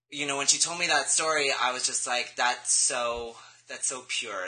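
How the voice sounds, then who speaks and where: A man with an American accent and a normal speaking voice talks at a moderate pace with ordinary pitch variation. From Los Angeles, California. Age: 20s. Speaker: interview guest, therapy student. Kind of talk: interview.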